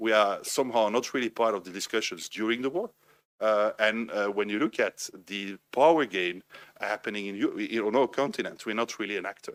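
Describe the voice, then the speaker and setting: Speaking with a Belgian French accent at a fairly quick pace, a man uses a medium pitch and ordinary pitch variation, the sound dry and close with no echo. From Belgium, French-speaking. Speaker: think tank director, panelist. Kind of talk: panel discussion.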